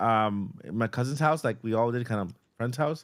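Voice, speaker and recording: On a very clean recording with a silent background, a man speaks in a Boston accent. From Boston, Massachusetts, then Puerto Rico. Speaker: YouTuber, podcast co-host. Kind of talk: casual chat. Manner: halting, with repetitions.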